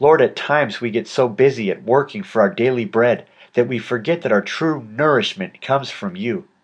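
An unremarkable speaking voice with lively intonation proceeds at a moderate pace against a quiet background. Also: man, medium pitch for a man. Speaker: audiobook narrator. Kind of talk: audiobook narration with a spoken prayer.

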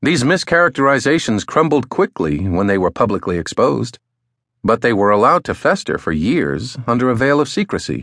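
Medium-pitched male speech with vocal fry and very wide pitch swings, at a fairly quick pace, dry and close with no echo, over a quiet background. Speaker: audiobook narrator. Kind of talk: dramatic audiobook narration of a political essay, grave and read aloud.

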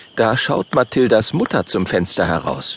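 A man talks at a fairly slow pace in a dry, close sound with no echo, though noticeable background noise is present. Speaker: audiobook narrator. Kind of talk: audiobook narration for children, reading aloud with character voices.

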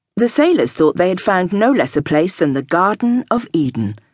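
With very wide pitch swings, a woman talks at a moderate pace, the sound dry and close with no echo against a quiet background. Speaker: audiobook narrator. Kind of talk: scripted audiobook narration, dramatic. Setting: studio. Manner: measured, storytelling, dramatic.

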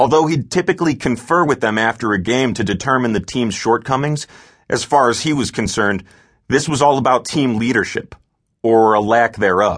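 A man with a plain, everyday voice talks at a moderate pace and medium pitch, with ordinary pitch variation over a quiet background. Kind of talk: audiobook narration. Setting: studio. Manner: measured, steady storyteller pacing.

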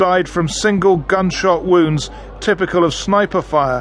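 A man with a British accent, high in pitch, at a moderate pace and with fairly even intonation. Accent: British English, BBC presenter. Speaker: radio news presenter. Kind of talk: formal news reading, scripted broadcast headlines and intro. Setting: studio. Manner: formal, measured, authoritative.

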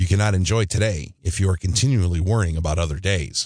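A man with a very deep, low pitch, somewhat breathy and gentle, soothing in tone, at a fairly quick pace with ordinary pitch variation, dry and close with no echo, over a quiet background. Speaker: audiobook narrator. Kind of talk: audiobook narration of guided meditation instructions. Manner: calm, steady instructional pacing; gentle, soothing reassurance.

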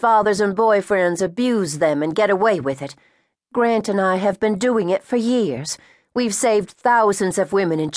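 An unforced reading voice sits over a quiet background, its pitch varying by an ordinary amount.

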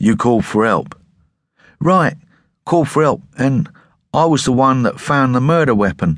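A man is speaking. His pace is moderate. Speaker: audiobook narrator. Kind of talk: dramatic audiobook narration of a sci-fi novel, voicing characters in dialogue. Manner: tense, gritty storytelling with shifting character voices; clear, measured pacing with dramatic emphasis.

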